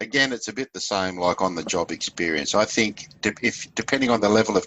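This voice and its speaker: A man with an Australian accent, fairly low-pitched, at a fairly quick pace with hardly any pauses and ordinary pitch variation. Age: 60s. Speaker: leadership facilitator and fisheries consultant. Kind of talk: interview.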